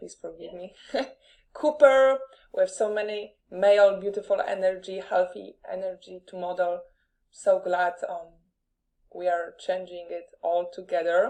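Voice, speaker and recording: In a Polish accent, the dark, mellow voice moves at a fairly slow pace with ordinary pitch variation, big swings in loudness and long, frequent pauses. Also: woman, medium pitch for a woman. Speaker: podcast host. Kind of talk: live interview.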